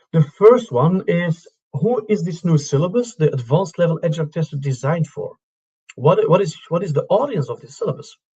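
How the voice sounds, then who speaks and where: Speaking with a Dutch accent, a man uses a dark, mellow tone at a high pitch, with lively intonation, a fairly quick pace and big swings in loudness. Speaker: syllabus working group chair, presenter. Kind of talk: webinar presentation. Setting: live online webinar.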